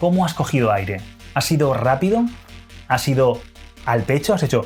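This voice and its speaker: Music plays in the background as a man with a medium pitch speaks at a moderate pace. His intonation is lively and his loudness very even. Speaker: dating and seduction coach. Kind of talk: instructional talk to camera.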